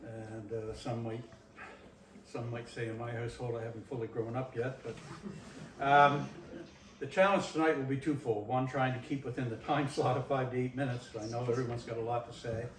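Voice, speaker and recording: Fairly quick speech with fairly even intonation carries audible room echo over noticeable background noise. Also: man, medium pitch for a man. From Nova Scotia. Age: 70s. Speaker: community presenter. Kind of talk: reminiscing talk to audience.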